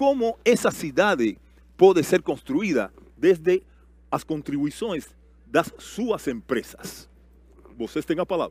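Over a silent background in a very clean recording, the speaker talks very slowly with long, frequent pauses and very wide swings in pitch. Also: man, high pitch for a man. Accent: Cuban. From Cuba. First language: Spanish (speaking Portuguese). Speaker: panel moderator. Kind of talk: panel moderation.

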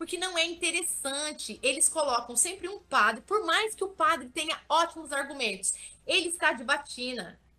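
A woman with a raised, projected voice, high pitch and lively intonation, fairly slow, in a bright, sharp tone. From interior of São Paulo state, Brazil (Vale do Ribeira). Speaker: digital influencer. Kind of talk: interview.

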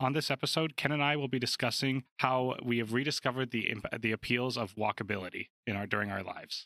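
On a very clean recording with a silent background and a dry, close sound with no echo, a man with a Canadian accent speaks at medium pitch in a bright, sharp tone, with ordinary pitch variation, at a very fast pace with hardly any pauses. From Calgary, Canada. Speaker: podcast host. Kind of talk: podcast conversation.

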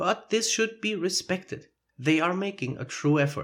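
Using lively intonation, a man with a German accent speaks at a moderate pace. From Germany. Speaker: podcast host. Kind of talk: solo educational monologue. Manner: conversational, explanatory.

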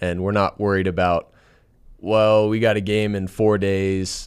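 Speaking at a fairly slow pace with a fairly low pitch and an American accent, a man has an unremarkable speaking voice on a very clean recording with a silent background. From Southern California. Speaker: college football quarterback. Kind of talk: interview.

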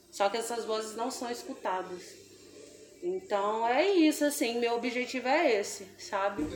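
Noticeable background noise sits behind a woman with a fairly high pitch. She speaks at a fairly slow pace with very wide pitch swings. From Brazil, Espírito Santo (Grande São Pedro). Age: young. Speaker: singer and dancer. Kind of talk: casual chat.

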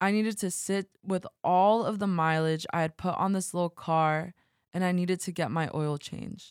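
A woman's ordinary speaking voice, fairly low in pitch, at a moderate pace with fairly even intonation, dry and close with no echo on a very clean recording against a silent background. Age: 20s. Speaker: podcast host. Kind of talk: personal narration.

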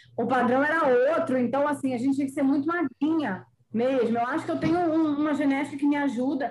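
A woman talks at a moderate pace. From Bahia, Brazil (born in Rio). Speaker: writer and former model. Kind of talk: podcast interview.

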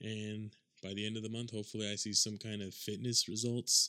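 Mumbling at a fairly quick pace, a man talks at a fairly low pitch. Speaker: podcast host. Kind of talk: solo podcast monologue. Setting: home recording. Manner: fast talker, mumbles; casual, rambling.

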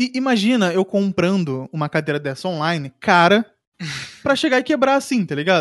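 The man's voice sits at a high pitch and makes very wide pitch swings. His pace is moderate. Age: 20s. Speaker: podcast co-host. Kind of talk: casual chat.

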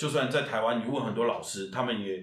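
A man's medium-pitched voice, with ordinary pitch variation, comes through audible room echo and noticeable background noise. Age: 30s. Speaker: musical theatre actor and singer. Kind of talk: casual interview chat.

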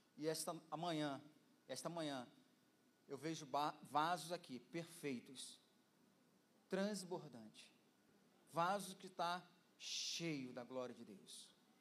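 A man with a fairly high voice talks very slowly, with long, frequent pauses and big swings in loudness. Audible room echo is present. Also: ordinary pitch variation. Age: 50s. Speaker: pastor. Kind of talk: sermon. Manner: energetic.

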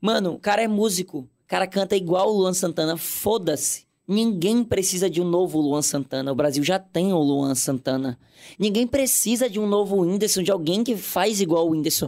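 Recorded very cleanly against a silent background, a man speaks at a high pitch with ordinary pitch variation. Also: moderate pace. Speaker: content creator. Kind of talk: casual chat. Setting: studio.

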